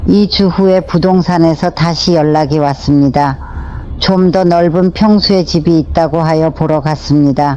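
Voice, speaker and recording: With noticeable background noise behind her, a woman speaks at a fairly low pitch and a fairly slow pace, with fairly even intonation, very even loudness and hardly any pauses. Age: 80s+. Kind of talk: personal memoir narration.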